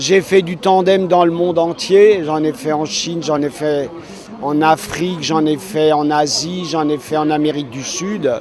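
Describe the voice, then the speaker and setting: A fairly high-pitched man at a fairly slow pace, with noticeable background noise. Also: ordinary pitch variation. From Alsace, France. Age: 70s. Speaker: blind tandem cyclist. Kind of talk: interview.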